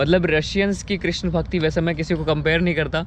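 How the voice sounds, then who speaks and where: A man's voice, high in pitch. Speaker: vlogger. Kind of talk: interview.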